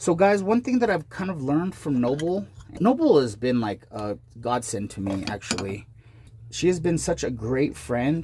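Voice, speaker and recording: Noticeable background noise surrounds a man whose fairly high voice, animated in tone, swings very widely in pitch. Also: moderate pace. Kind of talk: casual tutorial vlog.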